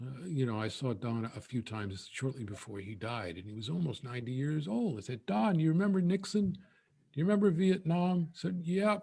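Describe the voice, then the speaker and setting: A man talks at a moderate pace in a dark, mellow tone that is somewhat breathy. His pitch swings very widely. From New York. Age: 60s. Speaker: poet. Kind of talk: Q&A discussion. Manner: halting, many fillers.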